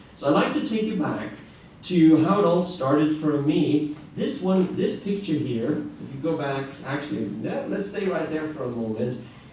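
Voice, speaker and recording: A man with a fairly high pitch speaks at a moderate pace with lively intonation, amid noticeable background noise and audible room echo. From Norway, Arendal. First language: Norwegian. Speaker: classical guitarist. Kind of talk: conference presentation. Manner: halting, with filler words.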